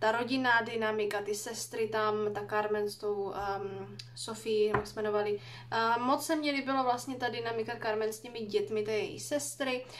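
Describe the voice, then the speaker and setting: Moving at a moderate pace, a woman talks in a fairly high pitch. Her pitch variation is ordinary. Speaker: book vlogger. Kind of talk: casual vlog monologue. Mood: relaxed, thoughtful. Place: home room. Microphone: phone near.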